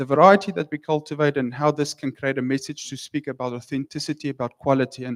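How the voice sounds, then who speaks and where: A man with a South African accent, fairly high-pitched, at a very fast pace, in a dry, close sound with no echo. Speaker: wine researcher. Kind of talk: conference talk. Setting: stage with audience. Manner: halting.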